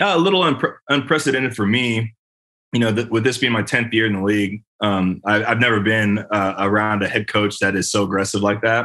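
A man with an American accent speaks fairly quickly in a normal speaking voice, his pitch fairly low. His pitch variation is ordinary and his loudness very even. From California, Bay Area. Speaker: football player. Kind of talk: casual interview.

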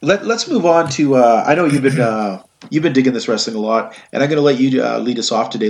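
A man is talking. His voice is medium in pitch. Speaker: podcast host. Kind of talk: casual banter podcast. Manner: animated, joking.

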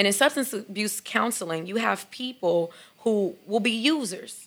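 A woman with an animated tone and an American accent. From Chicago, South Side. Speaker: mental health counselor. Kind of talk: podcast interview.

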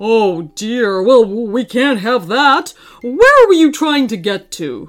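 A female-sounding put-on character voice, fairly high in pitch, goes at a fairly slow pace over faint music in the background. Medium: read story. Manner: gentle, old-fashioned, fussing.

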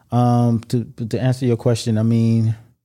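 With an American accent, a man speaks at a medium pitch. His tone is dark and mellow. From United States, Haitian family. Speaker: podcast guest. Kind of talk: casual chat.

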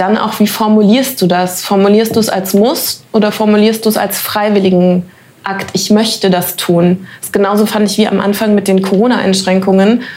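Over noticeable background noise, a woman of medium pitch speaks at a moderate pace with monotone, flat intonation. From Germany. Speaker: actress. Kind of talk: interview. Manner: hesitant, many fillers.

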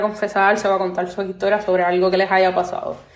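A woman with a Puerto Rican accent at a very fast pace. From Puerto Rico. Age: 20s. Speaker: podcast host. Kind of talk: solo podcast monologue.

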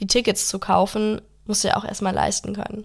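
Flat and monotone, a woman of medium pitch speaks fairly quickly in a very clean recording with a silent background. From Germany. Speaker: podcast co-host. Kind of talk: casual political discussion.

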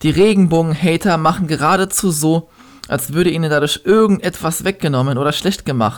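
Here a man talks at a fairly high pitch. His pace is moderate. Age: 20s. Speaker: podcaster and slam poet. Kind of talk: poetry slam performance.

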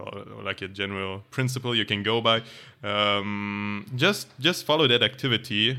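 A speaker with a German accent talks at a fairly slow pace, using fairly even intonation. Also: man. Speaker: podcast co-host. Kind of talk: casual chat.

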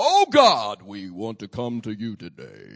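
A man's medium-pitched, put-on character voice at a fairly slow pace. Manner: solemn, praying.

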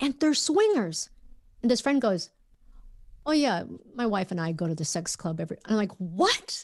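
A woman's fairly high, somewhat breathy voice at a moderate pace, with very wide pitch swings and long, frequent pauses. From Minnesota, US. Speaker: journalist and podcast host. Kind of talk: casual interview chat.

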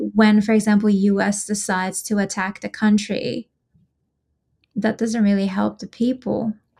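In a very clean recording with a silent background, a woman with an Iranian accent speaks at a moderate pace and medium pitch, her tone dark and mellow, somewhat breathy, with monotone, flat intonation. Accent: Iranian (Persian) accent in English. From Iran, Tehran. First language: Persian (Farsi). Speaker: activist. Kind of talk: casual interview.

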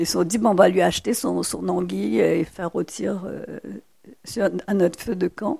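The woman keeps a moderate pace. Her speech has long, frequent pauses. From Mauritius, rural village. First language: Mauritian Creole (speaking French). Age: 60s. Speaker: novelist and poet. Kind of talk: public talk at library event.

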